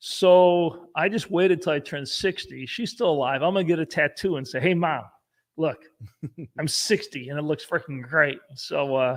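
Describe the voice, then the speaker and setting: A man speaks at a moderate pace with ordinary pitch variation. His is a plain, everyday voice. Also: fairly high pitch for a man. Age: 60s. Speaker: company CEO. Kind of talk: casual chat. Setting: livestream.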